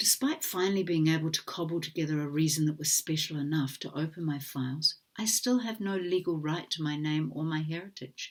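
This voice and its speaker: A woman's very deep, low-pitched voice at a moderate pace, with ordinary pitch variation. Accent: New Zealand. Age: 60s. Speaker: adoptee advocate. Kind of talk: formal testimony read from a prepared statement. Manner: formal.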